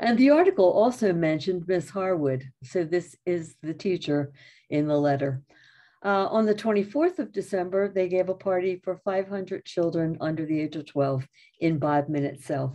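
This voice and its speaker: Against a quiet background, a woman talks at a moderate pace with a fairly low pitch, a dark, mellow tone and ordinary pitch variation. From Philadelphia area, USA; Pennsylvania. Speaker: retired English teacher. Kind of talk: history talk. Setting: video call. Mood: warm storytelling. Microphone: video call.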